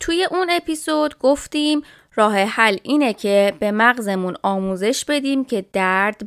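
Her pitch fairly high and her intonation lively, a woman speaks at a very slow pace in a dry, close sound with no echo. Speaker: chiropractor and health podcast host. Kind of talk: casual educational talk.

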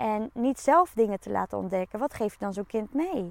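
Recorded dry and close with no echo, a woman with an unremarkable speaking voice speaks at a moderate pace, her fairly high pitch carried by lively intonation. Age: 30s. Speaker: podcast host, coach. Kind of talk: solo podcast monologue.

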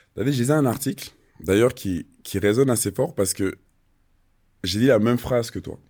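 Long, frequent pauses break up speech with ordinary pitch variation on a very clean recording with a silent background. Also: man, medium pitch for a man, moderate pace. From Switzerland. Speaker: podcast host, former footballer. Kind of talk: casual interview.

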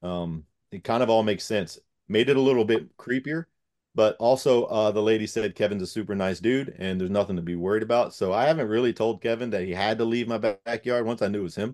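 A man with an American accent talks at a very fast pace. His pitch is fairly low. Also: ordinary pitch variation, quiet background. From Gloucester County, Virginia. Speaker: firefighter and paranormal investigator. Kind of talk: casual interview chat.

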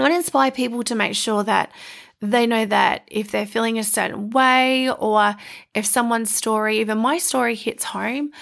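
A woman's fairly high, warm voice with an Australian accent, ordinary pitch variation and a moderate pace, in a very clean recording with a silent background. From rural Queensland, Australia (Stanthorpe). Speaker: podcast host and life coach. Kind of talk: personal monologue. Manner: warm, laughs often.

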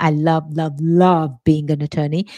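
The recording is very clean, with a silent background. In it, a woman talks with an English accent. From England. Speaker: lawyer and podcast host. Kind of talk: solo podcast monologue.

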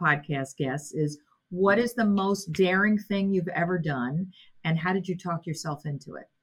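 This woman has a plain, everyday voice at medium pitch. She talks at a fairly slow pace with lively intonation. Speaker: college president and podcast host. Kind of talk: interview conversation.

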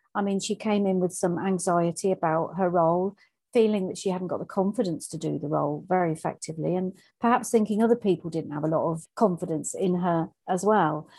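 Against a quiet background, a woman with an English accent speaks at a medium pitch in a dark, mellow tone, with ordinary pitch variation. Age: 50s. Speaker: coach and mentor. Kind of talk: interview.

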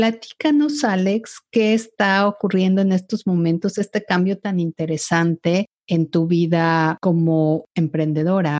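An ordinary speaking voice with ordinary pitch variation and very even loudness moves at a fairly slow pace with hardly any pauses. The sound is dry and close with no echo, over a quiet background. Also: woman, medium pitch for a woman. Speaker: podcast host. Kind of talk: interview.

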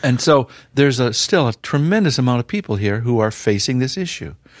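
A man's medium-pitched voice with very wide pitch swings, in a dry, close sound with no echo. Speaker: ministry founder and former pastor. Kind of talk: interview testimony. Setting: office.

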